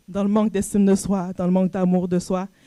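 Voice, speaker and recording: A woman with a Canadian French accent speaks at a medium pitch in a dark, mellow tone on a very clean recording with a silent background. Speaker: coach and entrepreneur, conference speaker. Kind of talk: personal testimony talk at a conference.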